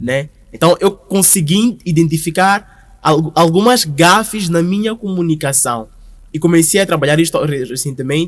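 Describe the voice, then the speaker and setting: Moderately paced, high-pitched male speech with ordinary pitch variation. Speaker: brand founder and creative director. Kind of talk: podcast interview. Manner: loud.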